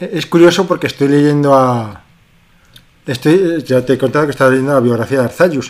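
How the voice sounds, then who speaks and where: This man's voice sits fairly high, with ordinary pitch variation. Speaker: podcast co-host. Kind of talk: casual chat.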